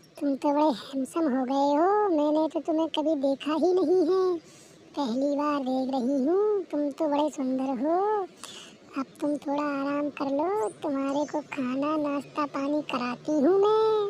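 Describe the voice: In a cartoonish character voice, a woman speaks at a moderate pace with a high pitch and ordinary pitch variation over clear background noise.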